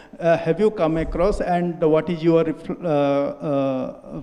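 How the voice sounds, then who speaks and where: A man with a fairly high pitch speaks in a dark, mellow tone with fairly even intonation. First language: not English. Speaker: audience member. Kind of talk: audience question. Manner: halting.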